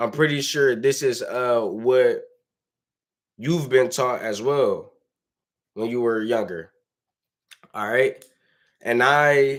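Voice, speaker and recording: With an American accent, a man speaks very slowly at a medium pitch, using ordinary pitch variation. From Detroit, US Midwest. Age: 20s. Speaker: motivational vlogger. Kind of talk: motivational monologue. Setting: son's bedroom while son sleeps. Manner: animated.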